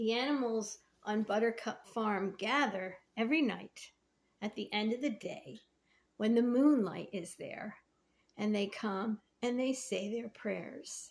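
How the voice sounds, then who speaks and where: A woman speaks in a normal speaking voice, fairly high in pitch with ordinary pitch variation. She talks fairly slowly on a very clean recording with a silent background. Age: 60s. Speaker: faith vlogger and painter. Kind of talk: casual devotional talk to camera.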